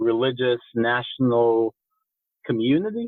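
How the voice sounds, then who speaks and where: This man's pitch sits in the middle of his range. He delivers each line in a monotone, flat intonation. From Israel (Rehovot). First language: Hebrew. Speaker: war veteran, activist organization director. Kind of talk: podcast interview. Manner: halting, many fillers.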